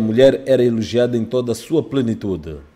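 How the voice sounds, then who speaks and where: At a fairly quick pace, a man speaks at medium pitch with a dark, mellow tone. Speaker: news reporter. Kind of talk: news reading, scripted report voiceover. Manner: formal, measured.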